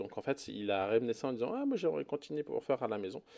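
Over a quiet background, a man with a dark, mellow tone speaks with lively intonation. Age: 40s. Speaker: podcast co-host, parent. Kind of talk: casual chat.

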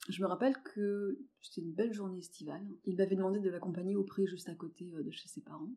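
This voice has a dark, mellow tone and ordinary pitch variation. It moves at a very fast pace with big swings in loudness. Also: woman, medium pitch for a woman. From rural France. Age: 30s. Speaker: interior decoration worker. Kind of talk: testimony. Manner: halting.

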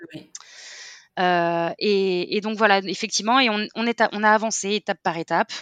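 A woman at a moderate pace, her intonation fairly even, in a dry, close sound with no echo. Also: medium pitch for a woman. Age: 30s. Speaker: clothing brand founder. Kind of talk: testimony. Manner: halting.

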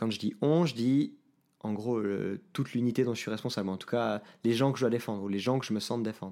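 Over a silent background in a very clean recording, a man speaks fairly quickly at a medium pitch, his tone dark and mellow and his intonation fairly even. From Switzerland, Geneva. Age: 30s. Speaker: IT team manager. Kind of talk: podcast interview.

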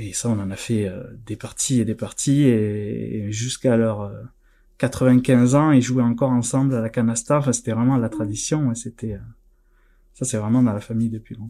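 A man speaks in a dark, mellow tone at a medium pitch, his intonation fairly even. The recording is very clean, with a silent background. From southern France, near Narbonne. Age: 30s. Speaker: board game industry employee. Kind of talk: interview.

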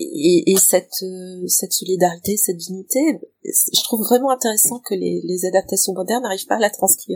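This woman has an unremarkable speaking voice of medium pitch, with ordinary pitch variation. She talks at a moderate pace in a dry, close sound with no echo. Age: 50s. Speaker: librarian, podcast guest. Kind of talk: casual chat.

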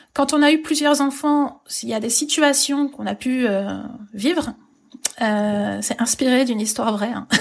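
Her voice sits high, and she talks fairly slowly, her pitch varying in an ordinary way. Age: 30s. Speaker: children's book publisher and author. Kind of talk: casual interview. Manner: hesitant, many fillers.

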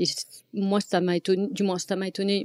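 A woman talking at a fairly quick pace on a very clean recording with a silent background. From France. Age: 40s. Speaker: domestic violence survivor. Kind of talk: testimony. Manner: halting.

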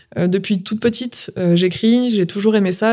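In a very clean recording with a silent background, a woman uses a normal speaking voice at a medium pitch, with fairly even intonation and a moderate pace. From southern France. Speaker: entrepreneur. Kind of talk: interview.

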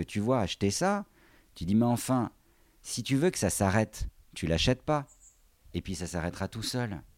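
On a very clean recording with a silent background and a dry, close sound with no echo, a man at a medium pitch talks at a moderate pace with very wide pitch swings. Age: 40s. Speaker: handbag designer and craftsman. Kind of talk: casual chat.

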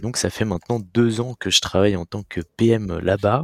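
This very clean recording of a man, with a silent background, has a dry, close sound with no echo. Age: 20s. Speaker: product manager. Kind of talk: casual interview.

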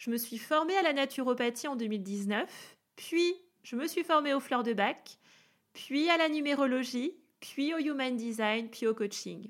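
A woman speaks in a high voice with an enthusiastic tone and ordinary pitch variation at a fairly slow pace. The recording is very clean, with a silent background. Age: 30s. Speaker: wellness coach. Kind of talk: podcast monologue. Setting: home office.

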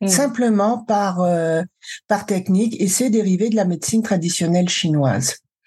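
A woman's dark, mellow tone, somewhat breathy and very even in loudness. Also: medium pitch for a woman, ordinary pitch variation, moderate pace. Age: 60s. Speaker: cancer survivor and emotional wellbeing coach. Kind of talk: testimony.

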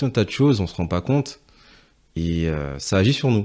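A man speaks at a moderate pace in a fairly low pitch. His tone is dark and mellow. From Guadeloupe. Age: 20s. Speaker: hairdresser and entrepreneur. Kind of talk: casual interview. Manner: hesitant, frequent repetitions.

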